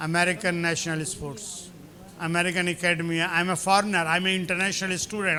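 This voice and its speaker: Very fast and high-pitched, a man talks amid noticeable background noise and audible room echo. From India. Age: 70s. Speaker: professor. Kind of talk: lecture. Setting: lecture hall with audience. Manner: animated.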